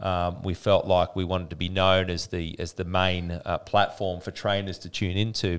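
A man with an Australian accent, very deep and low in pitch, monotone and flat, at a moderate pace, on a very clean recording with a silent background. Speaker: podcast host, fitness business coach. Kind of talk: interview.

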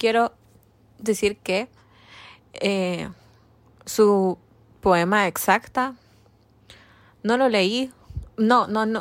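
On a very clean recording with a silent background, the speech goes at a very slow pace with long, frequent pauses and fairly even intonation. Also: woman, fairly high pitch for a woman. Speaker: podcast co-host. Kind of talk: casual chat.

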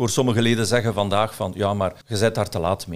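A man with a Flemish accent talks at a fairly quick pace. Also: very clean recording, silent background. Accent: Flemish Dutch. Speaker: director of real estate professional association. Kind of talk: podcast interview. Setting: studio.

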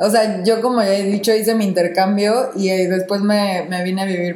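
A woman talks at a fairly slow pace with fairly even intonation. Audible room echo and noticeable background noise are present. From Mexico. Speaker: podcast co-host. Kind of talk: casual chat.

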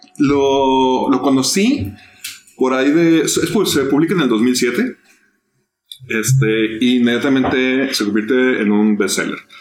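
Music plays behind a voice that moves at a very slow pace with very even loudness. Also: man. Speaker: podcast host. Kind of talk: casual chat.

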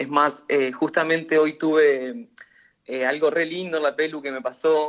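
A man with an unremarkable speaking voice, fairly high in pitch and fairly slow in pace. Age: 20s. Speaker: hairdresser. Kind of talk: interview.

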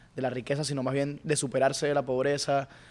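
A man talks at a medium pitch. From Venezuela, Mérida. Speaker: rapper. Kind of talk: casual chat.

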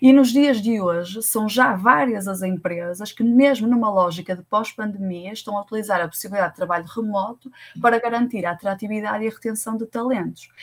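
With a normal speaking voice, a woman talks at a fairly quick pace and fairly high pitch, with ordinary pitch variation and hardly any pauses. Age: 30s. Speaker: tech recruitment consultant. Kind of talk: interview.

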